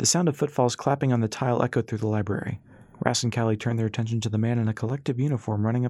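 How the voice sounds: Fairly even intonation in a natural reading voice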